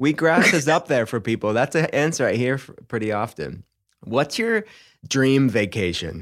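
Speaking at a moderate pace with an American accent, a man at medium pitch shows vocal fry and very wide pitch swings. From Pittsburgh, Pennsylvania. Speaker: podcast host, functional medicine doctor. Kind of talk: casual interview chat.

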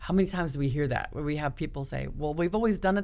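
In a room with audible echo, a woman with an American accent talks at a very fast pace in a very deep, low voice. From US Midwest, small-town Iowa. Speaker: podcast host, leadership coach. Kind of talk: casual chat.

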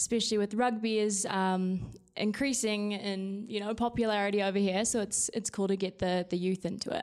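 Speaking at a fairly quick pace with hardly any pauses, a woman with a New Zealand accent keeps a medium pitch, fairly even intonation and very even loudness. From New Zealand, South Island. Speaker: youth rugby and marketing staff. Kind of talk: casual chat.

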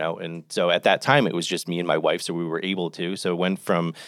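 On a very clean recording with a silent background and a dry, close sound with no echo, a man with an American accent talks at a fairly quick pace. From New Jersey, Jersey Shore (Toms River). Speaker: restaurant company executive. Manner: loud when comfortable.

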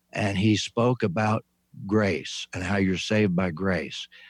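A man with an American accent has a plain, everyday voice at a fairly low pitch with ordinary pitch variation. He talks at a fairly slow pace in a dry, close sound with no echo. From US Midwest (Indiana farm). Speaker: retired pastor and author. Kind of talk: interview. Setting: video call.

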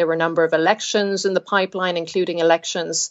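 The woman's voice is medium in pitch, with fairly even intonation. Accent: Cork. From Cork, Ireland. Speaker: journalist. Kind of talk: interview answers, explanatory. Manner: hesitant, many fillers.

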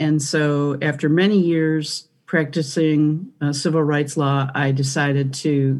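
Against a quiet background, a woman with a Michigan accent speaks with a very deep, low pitch and fairly even intonation. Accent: Midwestern American (Michigan). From Michigan, US (Detroit). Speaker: priest and former civil rights attorney. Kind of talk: interview conversation.

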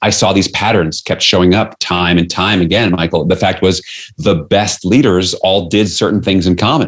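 A moderate pace and fairly even intonation, with an American accent. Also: man. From New York City. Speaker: leadership author and coach. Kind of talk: interview.

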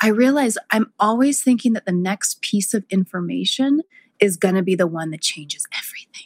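A woman's plain, everyday voice at medium pitch, moderate pace and lively intonation, with a dry, close sound with no echo. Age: 40s. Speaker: podcast host and herbalist. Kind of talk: casual chat.

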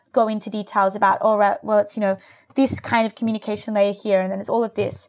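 This woman's voice sits fairly high and carries an Australian accent. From Australia (rural New South Wales, near Byron Bay). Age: 20s. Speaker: tech startup founder. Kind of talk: interview.

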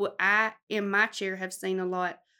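A woman with a Southern US accent. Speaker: cosmetologist. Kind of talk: casual chat. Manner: loud.

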